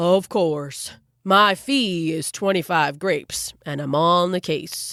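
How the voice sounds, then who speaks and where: A woman's put-on character voice at a fairly low pitch and fairly slow pace, in a very clean recording with a silent background. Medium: read story.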